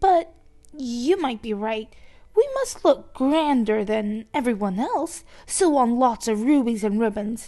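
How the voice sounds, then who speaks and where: Using a put-on character voice, a woman speaks fairly slowly at a high pitch with lively intonation. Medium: read story. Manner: sneering, snappish.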